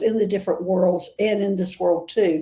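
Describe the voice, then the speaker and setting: A woman speaks in a Southern US accent at medium pitch with a dark, mellow tone. Her pace is moderate and her pitch varies in an ordinary way. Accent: Southern US accent, noticeable. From US South. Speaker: interview show host. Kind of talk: casual interview chat.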